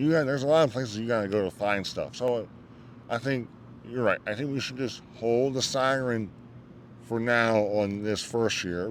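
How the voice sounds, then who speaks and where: A man speaks at a moderate pace in a plain, everyday voice. His pitch is medium and his intonation stays fairly even. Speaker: motorsport podcast host. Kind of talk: casual podcast commentary.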